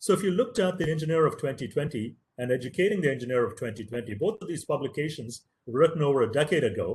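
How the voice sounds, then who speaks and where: The voice is somewhat breathy and moves at a very fast pace. Its pitch swings very widely. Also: man, fairly high pitch for a man, hardly any pauses. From India, Tamil-speaking. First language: Tamil. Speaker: professor. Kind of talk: lecture.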